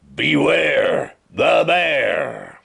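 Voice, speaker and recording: The voice is a raspy, put-on character voice. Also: man, extremely high pitch for a man. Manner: warning, threatening.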